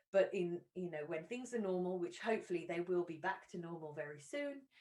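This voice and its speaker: The pace is fairly quick and the intonation lively. Its tone is dark and mellow. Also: woman, fairly low pitch for a woman. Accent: English. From England. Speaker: university recruitment representative. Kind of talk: presentation. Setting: live online stream. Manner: hesitant with fillers.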